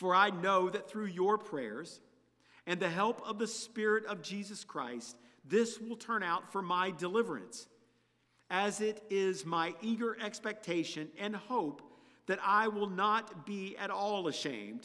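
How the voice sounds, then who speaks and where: Against a quiet background, a man speaks in a raised, projected voice with a bright, sharp tone, ordinary pitch variation and a fairly slow pace. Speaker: preacher. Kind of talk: scripture reading. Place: church. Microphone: podium.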